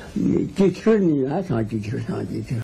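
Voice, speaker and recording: With a Qingdao accent, a man talks at a fairly slow pace using lively intonation. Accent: old Qingdao dialect, Jiaoliao Mandarin. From Qingdao, Shandong. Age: old. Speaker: elderly local resident. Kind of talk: interview answer.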